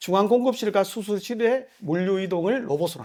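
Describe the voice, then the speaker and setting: A man speaks at a high pitch and a moderate pace. The recording is very clean, with a silent background. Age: middle-aged. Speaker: company country manager giving seminar. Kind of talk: seminar lecture. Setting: conference room with live audience. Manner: casual, many fillers.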